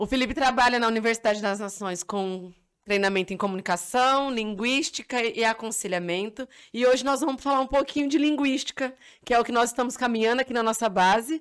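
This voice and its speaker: Over a quiet background, a woman speaks at a fairly quick pace, her fairly high pitch showing ordinary variation. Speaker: missionary and podcast host. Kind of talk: podcast interview. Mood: warm, welcoming, smiling. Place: studio. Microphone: studio mic.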